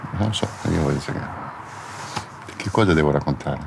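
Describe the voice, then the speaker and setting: The speaker is a man going at a fairly quick pace. Behind him, background noise is noticeable. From Middle East, Palestinian. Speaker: former convicted attacker. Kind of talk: interview.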